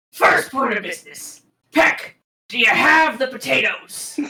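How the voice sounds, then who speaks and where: A gruff, high-pitched put-on character voice at a moderate pace. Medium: actual play.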